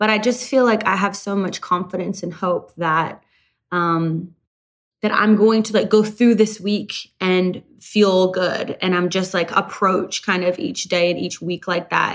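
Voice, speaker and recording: In a Canadian accent, a woman with a normal speaking voice talks at a medium pitch, fairly slowly and with fairly even intonation, on a very clean recording with a silent background. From rural Canada. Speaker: country singer. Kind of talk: interview.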